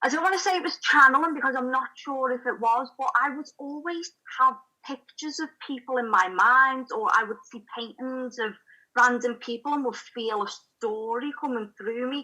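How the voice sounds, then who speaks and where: A woman's high, raised, projected voice with a Liverpool accent, a bright, sharp tone, moderate pace and ordinary pitch variation. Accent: Scouse. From Liverpool, England. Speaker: spiritual channel and writer. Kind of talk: interview testimony.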